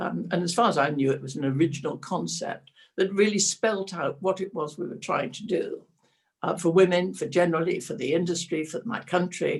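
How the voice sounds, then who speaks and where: A somewhat breathy voice at a fairly quick pace, with ordinary pitch variation. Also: woman, fairly low pitch for a woman. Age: 80s+. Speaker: IT entrepreneur and philanthropist. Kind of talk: webinar interview answer.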